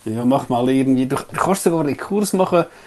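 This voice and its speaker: Here a man speaks with a Swiss accent. His pitch swings very widely. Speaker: podcast co-host. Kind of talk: casual chat.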